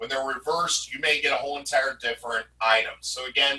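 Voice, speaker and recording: A man speaks at a moderate pace with an American accent and lively intonation. It is a plain, everyday voice, fairly high in pitch. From US Midwest, St. Louis area. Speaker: college instructor. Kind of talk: lecture. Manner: filler-heavy.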